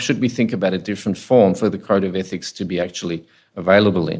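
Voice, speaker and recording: Recorded very cleanly against a silent background, a man speaks with ordinary pitch variation. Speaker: ethics committee chair presenting at a workshop. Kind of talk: workshop presentation. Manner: soft-spoken.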